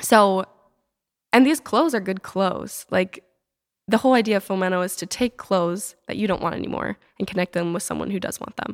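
An unremarkable speaking voice from a woman at medium pitch and a fairly quick pace, with ordinary pitch variation, in a very clean recording with a silent background and a dry, close sound with no echo. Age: 20s. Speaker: startup founder and college student. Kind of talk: casual interview.

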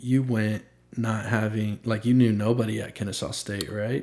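A man's medium-pitched voice, an ordinary speaking voice, keeps fairly even intonation. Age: 20s. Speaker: podcast host. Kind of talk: casual chat. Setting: home studio.

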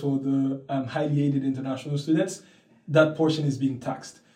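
A man with a dark, mellow tone and a somewhat breathy, fairly high voice speaks in a flat monotone. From Haiti, Port-au-Prince. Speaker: university student. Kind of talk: interview. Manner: hesitant, with fillers.

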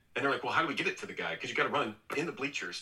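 Over noticeable background noise, a man delivers his words at a very fast pace. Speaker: former baseball pitcher, TV analyst. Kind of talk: casual interview chat.

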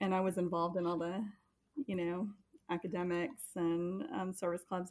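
At a moderate pace, a woman with an ordinary speaking voice and an American accent talks at a fairly low pitch. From US military family, raised largely in Florida. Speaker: parent. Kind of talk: casual interview.

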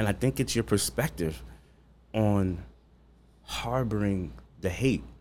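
Speaking at a fairly slow pace with long, frequent pauses, the voice has vocal fry, very wide pitch swings and very even loudness. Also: man, fairly low pitch for a man. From Long Island, New York. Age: 40s. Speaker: chef. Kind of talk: casual interview. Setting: studio.

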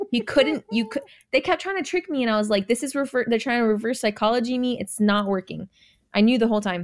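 A woman's very fast, animated speech, fairly high in pitch with ordinary pitch variation. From California, born in Jamaica. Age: 20s. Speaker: reality TV contestant. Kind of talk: casual chat.

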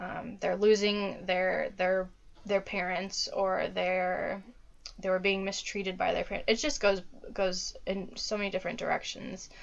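This woman talks at a fairly slow pace with a Midwestern US accent. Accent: General American (Midwestern). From US Midwest (Dayton, Ohio). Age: 20s. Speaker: social worker. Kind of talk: casual interview. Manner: hesitant, many fillers.

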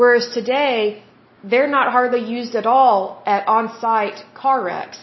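This woman speaks with a slight Oklahoma accent in a fairly high pitch. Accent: slight Oklahoma twang. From Oklahoma, US. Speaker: podcast host. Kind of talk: solo podcast monologue, reading info. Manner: chatty, warm, informal.

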